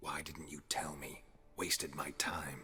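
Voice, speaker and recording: Putting on a growling character voice, a man talks at a fairly slow pace. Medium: video game. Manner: terse, flat.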